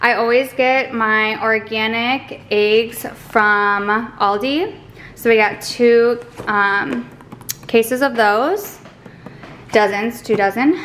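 A woman speaks at a very slow pace with long, frequent pauses, very even loudness and ordinary pitch variation, over light background noise. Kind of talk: casual vlog chat. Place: home room. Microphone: camera far.

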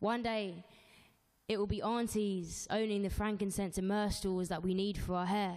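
A woman with a London accent speaks at a medium pitch with fairly even intonation over a quiet background. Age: 20s. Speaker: spoken word poet. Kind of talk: spoken word performance. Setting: live show. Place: studio. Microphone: handheld.

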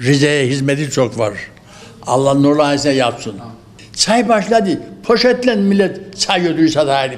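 Over noticeable background noise, a man talks at a moderate pace in a fairly high pitch, with very wide pitch swings. His loudness stays very even. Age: 80s+. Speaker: elderly tea farmer. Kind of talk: interview answer.

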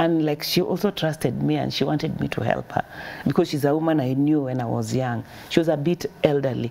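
A woman with a very deep, low pitch talks at a fairly quick pace with ordinary pitch variation. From Kenya, Nairobi; Kenya. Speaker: charity founder. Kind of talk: interview. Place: studio.

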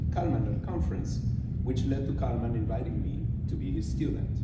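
A man speaks amid loud background noise, with audible room echo. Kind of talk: formal acceptance speech. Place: hall. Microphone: podium.

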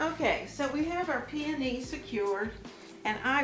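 Very slow speech with ordinary pitch variation is heard with audible room echo. Music plays clearly in the background. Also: woman. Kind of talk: tutorial. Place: kitchen.

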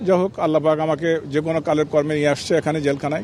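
A man's fairly even intonation is heard against noticeable background noise. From Bangladesh, Bogura. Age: 70s. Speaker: released former border guard officer. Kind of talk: press statement to reporters.

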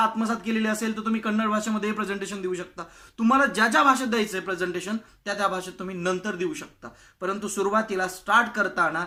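In a raised, projected voice, a man speaks at a high pitch with a bright, sharp tone and fairly even intonation. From Maharashtra, India. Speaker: public speaking coach. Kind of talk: tutorial.

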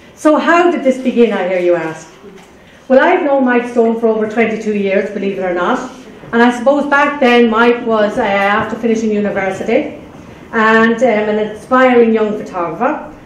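In an Irish accent, the speaker talks at a moderate pace with ordinary pitch variation. Light background noise and audible room echo can be heard. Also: woman, fairly high pitch for a woman. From Ireland. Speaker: community health coordinator. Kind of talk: prepared speech. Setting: library event with audience. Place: hall. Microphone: podium.

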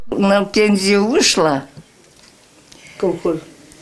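Ordinary pitch variation, with music in the background. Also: woman. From Russia, Sverdlovsk region. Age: 80s+. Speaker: retired collective farm worker. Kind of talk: interview answer. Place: home room.

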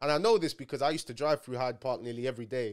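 Over a quiet background, a man speaks. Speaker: streamer commentator. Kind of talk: commentary. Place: home room. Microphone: studio mic.

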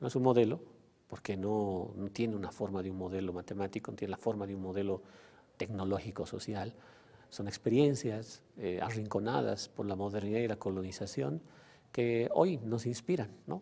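A man with a dark, mellow tone speaks at a fairly low pitch and moderate pace with ordinary pitch variation. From Bolivia. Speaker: sociologist and former education official; interviewee. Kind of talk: interview monologue. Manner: halting, many fillers and repetitions. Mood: calm, thoughtful. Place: studio. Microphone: lapel.

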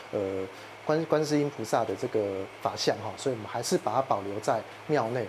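Noticeable background noise fills the clip. Through it, a man talks. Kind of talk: interview answer. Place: tunnel cave. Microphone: lapel.

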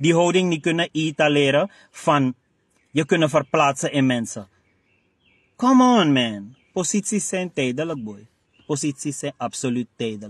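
In a Surinamese accent, a man speaks fairly slowly with an animated tone and lively intonation, the sound dry with no echo and the background quiet. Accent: Surinamese Dutch. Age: 40s. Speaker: party spokesman and director; party spokesman. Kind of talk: interview monologue. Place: car.

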